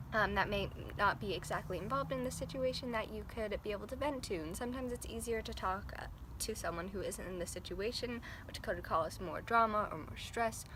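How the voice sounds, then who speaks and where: Soft-spoken, a woman talks at a fairly quick pace with audible room echo. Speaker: vlogger. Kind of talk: casual vlog monologue. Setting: outdoors. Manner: hesitant, many fillers.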